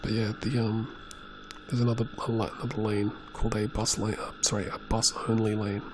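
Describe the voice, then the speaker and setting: A soft-spoken man with a fairly low pitch talks at a moderate pace in a monotone, flat intonation with hardly any pauses, over noticeable background noise. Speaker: motorcyclist. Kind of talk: casual talk while riding.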